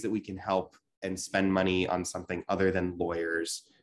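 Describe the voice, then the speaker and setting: At a moderate pace, this is a normal speaking voice. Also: man. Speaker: local newspaper reporter. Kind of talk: panel discussion. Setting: video call. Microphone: video call.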